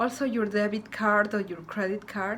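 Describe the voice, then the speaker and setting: Delivered at a moderate pace, this speech has a monotone, flat intonation and a Spanish accent. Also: woman. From Ecuador. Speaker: student vlogger. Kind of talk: tutorial.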